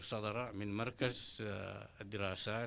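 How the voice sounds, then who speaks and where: A man speaks with a fairly low pitch and ordinary pitch variation. His tone is bright and sharp. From Sudan. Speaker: political party representative; panelist. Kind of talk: panel discussion. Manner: hesitant, with filler sounds. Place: meeting room. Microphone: handheld.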